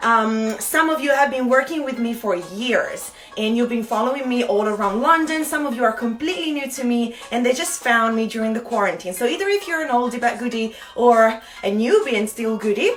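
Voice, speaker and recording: A woman's high-pitched, fairly quick speech in an Italian accent, with lively intonation, hardly any pauses and noticeable background noise. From Italy. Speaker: fitness instructor. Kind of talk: live online fitness class. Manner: chatty, upbeat.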